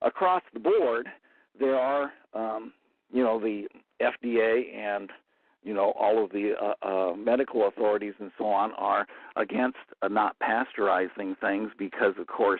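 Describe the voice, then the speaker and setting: A man speaks at a fairly slow pace. His pitch varies in an ordinary way. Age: 60s. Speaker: guest expert on colloidal silver. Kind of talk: radio interview. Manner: halting, many fillers.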